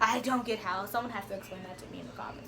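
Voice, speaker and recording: With an American accent, a woman talks in an animated tone over noticeable background noise and audible room echo. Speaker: vlogger. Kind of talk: story time.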